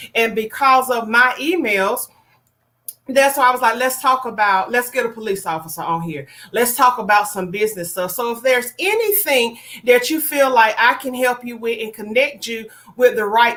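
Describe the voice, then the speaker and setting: Loud and animated, a woman with a slight Southern US accent speaks at a moderate pace with a high pitch, lively intonation and a bright, sharp tone. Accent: a little country. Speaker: online show host. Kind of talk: casual livestream talk.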